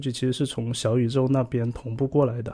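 A man's dark, mellow tone at a very fast pace with monotone, flat intonation. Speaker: podcast host. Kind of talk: tech tutorial monologue. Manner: halting with many fillers.

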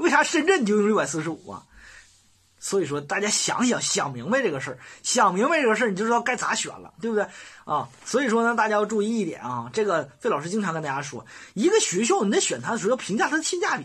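This voice has a Northeastern Chinese accent. The pace is very fast. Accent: Northeastern Mandarin. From Northeast China. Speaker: college admissions advisor. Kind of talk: lecture. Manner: animated.

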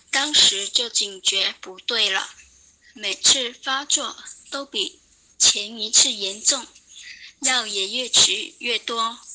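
A woman at a very slow pace and fairly high pitch, with ordinary pitch variation, big swings in loudness and long, frequent pauses. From Guangdong, China. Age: 20s. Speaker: radio listener sharing experience. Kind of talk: prepared testimony read aloud.

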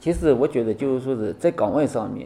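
A medium-pitched male voice at a fairly quick pace. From Xianju, Taizhou, Zhejiang. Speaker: city law enforcement officer, army veteran. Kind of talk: interview. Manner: halting, many fillers.

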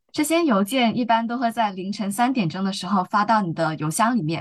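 Somewhat breathy and fairly high in pitch, a woman speaks at a moderate pace. The background is quiet. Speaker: law student. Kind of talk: casual interview.

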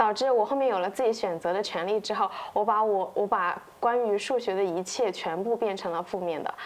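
A fairly quick pace and ordinary pitch variation from an ordinary speaking voice. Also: woman. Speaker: copywriter, podcast co-host. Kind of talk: casual chat.

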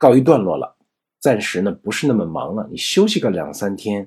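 An ordinary speaking voice at a moderate pace with lively intonation. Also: man. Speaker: Japanese language teacher. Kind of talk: lecture.

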